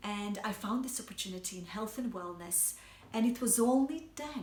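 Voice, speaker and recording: Somewhat breathy, a woman talks at a moderate pace with ordinary pitch variation. Audible room echo surrounds her voice. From Bosnia and Herzegovina. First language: Bosnian. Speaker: health coach. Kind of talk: personal story monologue. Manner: hesitant, many fillers.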